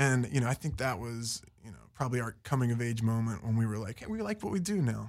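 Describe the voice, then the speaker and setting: A man speaks with an American accent at a very fast pace. His pitch is medium, with ordinary variation. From West Virginia (Fairmont). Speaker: musician in a band. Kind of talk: interview. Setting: studio.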